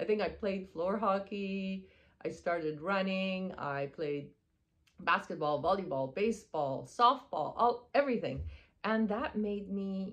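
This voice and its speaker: In a Persian accent, a woman speaks at a moderate pace with lively intonation. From Iran, moved to Texas at twelve. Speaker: spiritual wellness coach. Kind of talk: casual monologue. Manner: hesitant, many fillers.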